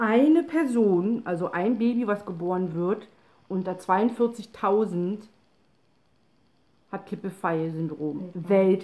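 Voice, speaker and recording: A woman speaks at a very slow pace in a medium pitch with ordinary pitch variation. Her tone is dark and mellow. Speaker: person with a chronic spinal condition. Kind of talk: casual talk to camera. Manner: hesitant, with pauses and stumbling. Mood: calm, slightly tired. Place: home room. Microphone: phone near.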